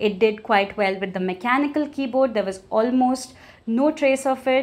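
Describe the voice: At a moderate pace, a woman speaks with fairly high pitch and ordinary pitch variation.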